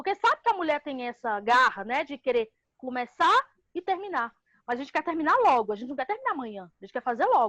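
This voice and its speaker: A woman with a high pitch races along at a very fast pace, with very wide pitch swings and big swings in loudness. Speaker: housing movement leader. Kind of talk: podcast interview. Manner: animated.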